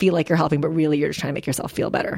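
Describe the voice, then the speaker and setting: A woman speaks with a Midwestern accent in a very deep, low pitch. Her intonation is monotone and flat. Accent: American Midwest. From Philippines, raised in Wisconsin. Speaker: novelist. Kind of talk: interview.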